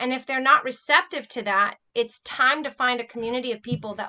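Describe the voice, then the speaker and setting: A woman's fairly high, bright, sharp voice with an American accent and ordinary pitch variation. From Southern California. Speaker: author. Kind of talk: interview. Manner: energetic, animated.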